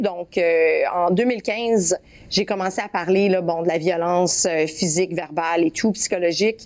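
A woman with a Quebec accent, medium in pitch, at a fairly slow pace. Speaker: former athlete. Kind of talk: interview testimony. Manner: halting.

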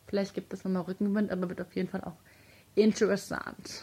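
A woman talks at a fairly quick pace, her voice somewhat breathy. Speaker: football podcast co-host. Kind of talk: casual chat. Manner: animated.

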